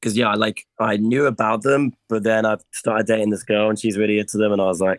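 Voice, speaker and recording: The man speaks very fast in a West Country accent, his intonation fairly even. The recording is very clean, with a silent background, and sounds dry and close with no echo. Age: 30s. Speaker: metal band vocalist and guitarist. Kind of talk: casual interview chat.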